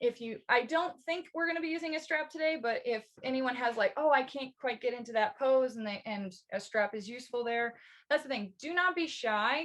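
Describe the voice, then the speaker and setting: A high-pitched woman's voice with lively intonation and an American accent. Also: fairly quick pace. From Missouri, US Midwest. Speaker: yoga instructor. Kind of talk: live online yoga class instruction.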